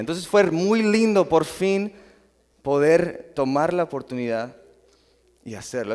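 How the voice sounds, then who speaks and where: A man is speaking. His intonation is lively. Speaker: lay preacher. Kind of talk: sermon. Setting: church. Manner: informal, halting.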